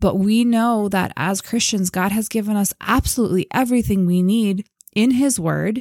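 A woman with a plain, everyday voice speaks at a medium pitch and moderate pace, her pitch varying in an ordinary way and her loudness very even, on a very clean recording with a silent background and a dry, close sound with no echo. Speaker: podcast co-host. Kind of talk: casual podcast discussion.

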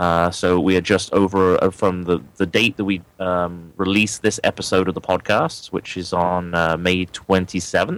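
A man speaks in a very deep, low voice with a monotone, flat intonation. His pace is fairly slow, with hardly any pauses. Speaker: son, lead pages expert. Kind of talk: podcast outro chat.

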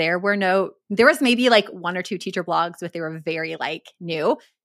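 In a very clean recording with a silent background, a woman with an American accent speaks at medium pitch in a bright, sharp tone, with ordinary pitch variation. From Minnesota. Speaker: literacy specialist and education business owner. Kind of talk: casual interview.

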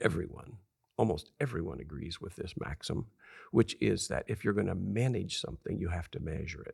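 A man talks at a fairly quick pace with an American accent and a very deep, low pitch. His voice shows vocal fry and very wide pitch swings. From Southern California desert farm town. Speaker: author and leadership consultant. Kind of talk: interview.

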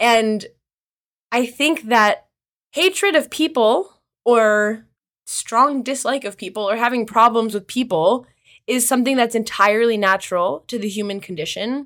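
A woman with an American accent has an unremarkable speaking voice at a fairly high pitch, with ordinary pitch variation. She talks at a moderate pace in a very clean recording with a silent background. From US Midwest, Kansas. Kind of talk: casual interview conversation.

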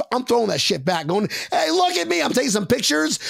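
The speaker is a man. His tone is animated. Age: 30s. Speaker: sports podcast host. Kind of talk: casual chat.

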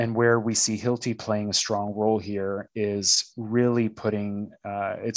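A man with a Canadian accent uses a plain, everyday voice, fairly low in pitch with fairly even intonation, on a very clean recording with a silent background. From Canada, Toronto. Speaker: corporate learning and development director. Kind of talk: interview conversation.

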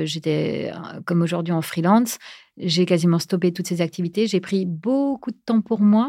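A woman's medium-pitched voice shows ordinary pitch variation. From France. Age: 40s. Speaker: podcaster, breast cancer survivor. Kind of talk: interview. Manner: hesitant, many fillers.

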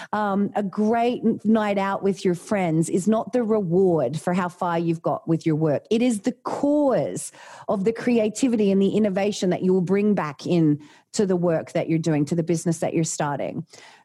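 A woman with an Australian accent talks at a moderate pace in a medium pitch with a dark, mellow tone. Her loudness stays very even, and her pitch varies in an ordinary way. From Australia, Tasmania. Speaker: leadership coach and former doctor. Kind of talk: interview.

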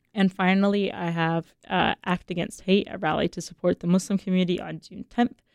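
With an unremarkable speaking voice of medium pitch, a woman talks at a fairly quick pace in a dry, close sound with no echo. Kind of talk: radio DJ patter, station ID and song back-announcements. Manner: relaxed, friendly, upbeat, with filler 'uh' and casual asides.

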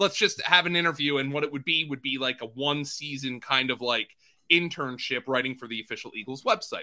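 A man with a bright, sharp tone speaks at a fairly quick pace, his pitch fairly high. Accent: American. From Philadelphia area, US. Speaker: fantasy football analyst. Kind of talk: casual interview.

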